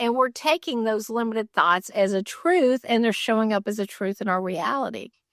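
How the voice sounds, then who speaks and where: A woman with a normal speaking voice, fairly high in pitch with ordinary variation, at a moderate pace with hardly any pauses, dry and close with no echo over a quiet background. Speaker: spiritual minister / inspirational speaker. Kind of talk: sermon-style inspirational talk to camera.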